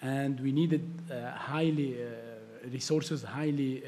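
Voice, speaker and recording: Speaking with an Arabic accent at a moderate pace, a man keeps a flat monotone at a medium pitch in a dark, mellow tone. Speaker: tech entrepreneur. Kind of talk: panel discussion. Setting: stage with audience. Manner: halting.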